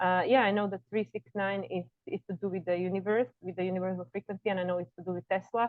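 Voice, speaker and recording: Her voice sits at a medium pitch for a woman. She talks at a very fast pace in a flat monotone. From Slovakia. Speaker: astrologer. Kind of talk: interview.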